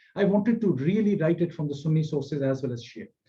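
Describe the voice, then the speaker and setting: The speaker talks at a fairly quick pace with a Pakistani accent. The tone is dark and mellow, with ordinary pitch variation. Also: man. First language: Punjabi. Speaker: scholar and author. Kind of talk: public talk. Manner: halting, many fillers.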